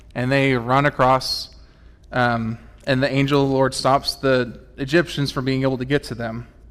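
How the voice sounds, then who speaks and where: A man at medium pitch, monotone with flat intonation. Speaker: church tech volunteer filling in as preacher. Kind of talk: sermon. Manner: fast; halting, self-correcting.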